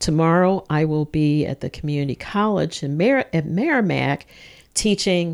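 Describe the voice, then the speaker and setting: Speaking at a fairly slow pace, a woman with a plain, everyday voice keeps a fairly low pitch and ordinary pitch variation. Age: 60s. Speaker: insurance counseling volunteer. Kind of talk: radio interview.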